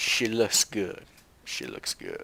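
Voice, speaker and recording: A man speaks very slowly in a Southern US accent. Noticeable background noise runs underneath. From US South. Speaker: gaming YouTuber. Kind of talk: gameplay commentary. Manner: casual, conversational.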